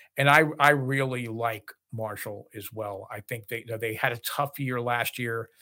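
A man with an American accent speaks at a moderate pace in a flat monotone, his bright, sharp tone sitting at a medium pitch, on a very clean recording with a silent background. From New Jersey. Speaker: college basketball podcast co-host. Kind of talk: casual sports chat.

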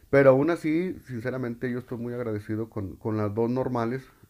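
A man talks at a medium pitch and a moderate pace, with ordinary pitch variation. The recording is very clean, with a silent background. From Mexico, Loreto, Zacatecas. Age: 30s. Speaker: podcaster, primary school teacher. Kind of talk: personal monologue. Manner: halting, many repetitions.

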